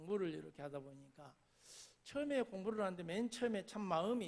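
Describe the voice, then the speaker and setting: High-pitched male speech in a Jeolla accent, with lively intonation at a moderate pace. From South Jeolla, Korea (Gangjin countryside). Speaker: pastor. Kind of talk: sermon.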